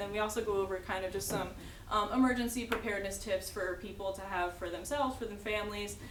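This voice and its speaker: A woman's medium-pitched voice at a very fast pace, with fairly even intonation, audible room echo and noticeable background noise. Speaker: public health outreach presenter. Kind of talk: presentation.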